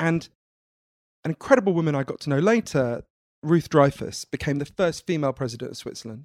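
A man's fairly high voice at a fairly quick pace, dry and close with no echo. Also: lively intonation. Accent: British. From Britain. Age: 30s. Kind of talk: interview conversation.

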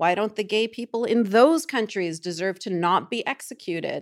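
A woman speaks in a normal speaking voice. Her intonation is lively. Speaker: human rights activist and writer. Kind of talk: interview.

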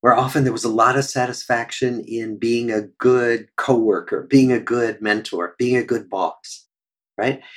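At a fairly slow pace, a man with a Midwestern US accent talks at medium pitch. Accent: General American, Midwestern. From US Midwest, Des Moines, Iowa. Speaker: psychiatrist and researcher. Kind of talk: interview conversation.

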